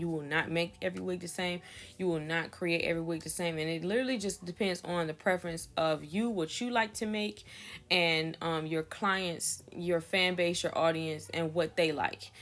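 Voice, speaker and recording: A woman speaks at a moderate pace with a fairly low pitch and ordinary pitch variation, in an unremarkable speaking voice. The recording is very clean, with a silent background. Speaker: wig maker. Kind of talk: tutorial. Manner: casual, with filler words.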